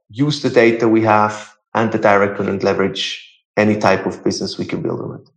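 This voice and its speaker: In a room with audible echo, a man with a fairly low pitch speaks at a fairly quick pace, his intonation fairly even but his loudness swinging widely. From Switzerland. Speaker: startup founder. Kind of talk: interview. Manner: halting.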